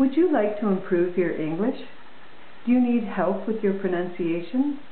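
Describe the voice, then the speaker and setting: A woman at a moderate pace with lively intonation, amid audible room echo and light background noise. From Canada. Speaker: English teacher. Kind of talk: promotional talk to camera. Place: home room. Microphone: webcam.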